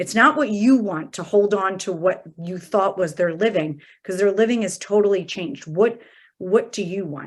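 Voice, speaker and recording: In a very clean recording with a silent background, a normal speaking voice moves at a moderate pace, with ordinary pitch variation and big swings in loudness. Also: woman, medium pitch for a woman. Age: 40s. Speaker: hospice and palliative medicine physician. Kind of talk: interview conversation.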